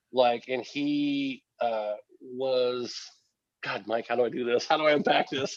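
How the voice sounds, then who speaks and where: A man with an ordinary speaking voice, medium pitch and an American accent talks at a fairly slow pace with ordinary pitch variation. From Oregon. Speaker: podcast guest, cannabis grower. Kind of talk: casual chat.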